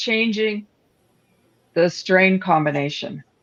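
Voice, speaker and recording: A woman with an ordinary speaking voice, medium pitch and a Canadian accent, at a fairly slow pace. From Northern Ontario, Canada. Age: 60s. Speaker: cannabis product entrepreneur. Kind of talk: casual chat.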